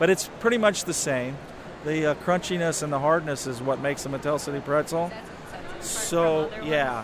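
A fairly high male voice with an American accent and ordinary pitch variation amid noticeable background noise. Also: moderate pace. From southern Indiana. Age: 50s. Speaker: pretzel company owner. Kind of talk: interview.

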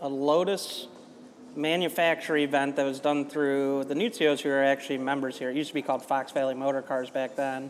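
A man with a plain, everyday voice and an American accent speaks at a moderate pace and a fairly high pitch. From US Midwest, Chicago. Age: 20s. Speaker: driving instructor. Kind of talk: casual chat. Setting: clubhouse over food and drinks.

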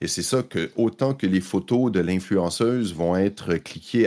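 Very clean recording with a silent background, a man's very deep, low voice, dark and mellow, at a very slow pace with ordinary pitch variation. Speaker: tech journalist. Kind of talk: casual chat.

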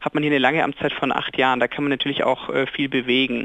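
Very fast and with fairly even intonation, a man delivers his words. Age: 20s. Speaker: mayor. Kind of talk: radio interview.

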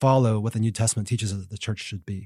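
An unremarkable speaking voice, ordinary in its pitch variation, with an American accent. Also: man, very clean recording, silent background. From Texas. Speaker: seminary professor and author. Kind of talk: interview. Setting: studio.

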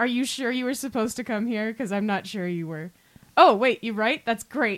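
Pitch shows ordinary variation. The reading voice is unforced.

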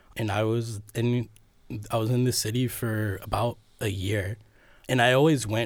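A somewhat breathy, fairly low male voice with an American accent and flat, monotone intonation. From Cleveland, Ohio. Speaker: video artist. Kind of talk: casual interview.

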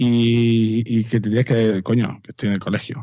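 The delivery moves at a fairly quick pace. Its tone is dark and mellow. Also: man. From Catalonia. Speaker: secondary school teacher and podcaster. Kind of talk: casual chat.

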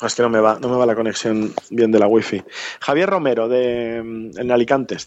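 At a moderate pace, a man with a medium pitch and ordinary pitch variation speaks in a plain, everyday voice. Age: 40s. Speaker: journalist and podcaster. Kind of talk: interview.

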